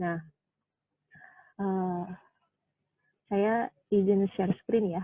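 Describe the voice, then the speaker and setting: A woman at a very slow pace, flat and monotone, with long, frequent pauses. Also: medium pitch for a woman. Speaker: pediatrician. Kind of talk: health talk lecture. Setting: hospital. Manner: relaxed, hesitant with fillers. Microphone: voice somewhat quiet, wearing a mask.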